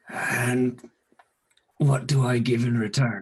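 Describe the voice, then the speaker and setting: In a put-on character voice, a man speaks with a medium pitch and monotone, flat intonation at a fairly slow pace. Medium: actual play.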